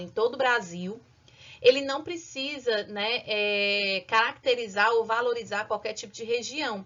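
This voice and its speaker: A woman at a fairly high pitch with a northeastern Brazilian accent, lively intonation and a fairly slow pace. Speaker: school teacher. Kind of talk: lecture.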